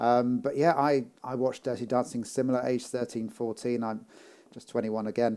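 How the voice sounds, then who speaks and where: In a dark, mellow tone, a man speaks at a medium pitch and a moderate pace with ordinary pitch variation. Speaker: podcast host. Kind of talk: casual interview chat.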